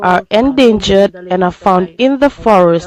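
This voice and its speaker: A woman talks fairly slowly with lively intonation while noticeable background noise runs underneath. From Fiji. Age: 70s. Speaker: local villager. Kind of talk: testimony.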